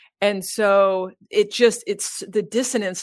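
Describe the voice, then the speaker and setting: At a fairly slow pace, a woman with a normal speaking voice speaks at medium pitch with fairly even intonation. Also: very clean recording, silent background. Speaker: spiritual podcaster and guide. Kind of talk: casual interview conversation.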